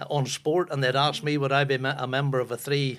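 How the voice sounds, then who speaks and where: A man with a strong Northern Irish accent talks at a fairly quick pace. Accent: strong North Antrim Ulster Scots. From Northern Ireland, Ballymoney, North Antrim. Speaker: football broadcaster and former footballer. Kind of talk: casual chat.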